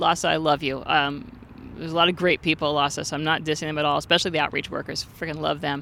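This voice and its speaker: A woman with an American accent talks at a very fast pace with a very deep, low pitch, a bright, sharp tone, vocal fry and fairly even intonation. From Santa Monica, California. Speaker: homeless outreach worker. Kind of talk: casual interview. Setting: outdoors by a fountain.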